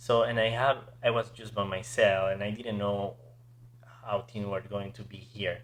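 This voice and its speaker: Speaking fairly slowly, the speaker has a non-native accent. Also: man. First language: not English. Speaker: podcast host. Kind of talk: interview.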